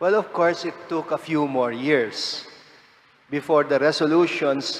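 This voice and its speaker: Fairly slow speech from a man at a fairly high pitch, ordinary in its pitch variation, over noticeable background noise. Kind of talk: homily.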